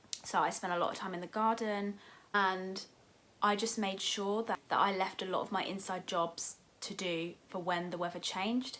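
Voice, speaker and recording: A woman with an English accent speaks at a moderate pace and medium pitch in a bright, sharp tone with monotone, flat intonation. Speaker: lifestyle YouTuber. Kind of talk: casual vlog talk to camera.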